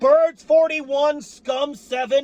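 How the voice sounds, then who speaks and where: A man speaks at a very slow pace with an extremely high pitch and ordinary pitch variation. Background noise is noticeable. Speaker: sports fan commentator. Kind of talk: game recap rant. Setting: apartment. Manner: animated.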